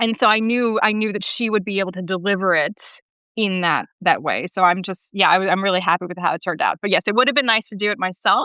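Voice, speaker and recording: Speaking at a very fast pace, a woman uses a medium pitch and ordinary pitch variation. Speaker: author and opera librettist. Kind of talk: podcast interview. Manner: big swings of inflection.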